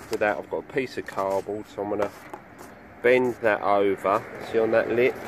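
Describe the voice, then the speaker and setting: With noticeable background noise but a dry sound and no echo, a man speaks at a fairly low pitch with fairly even intonation. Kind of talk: tutorial. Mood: casual, matter-of-fact. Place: garden. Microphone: phone near.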